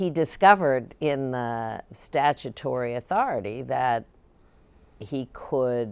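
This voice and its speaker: A woman with a Midwestern American accent, very deep and low in pitch, ordinary pitch variation, a very slow pace. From Ohio. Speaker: former state governor and cabinet secretary. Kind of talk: oral history interview answer.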